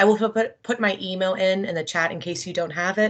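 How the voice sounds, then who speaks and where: A woman's pitch moves with ordinary variation, and the background stays quiet. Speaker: tobacco cessation counselor. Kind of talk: meeting update. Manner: fast.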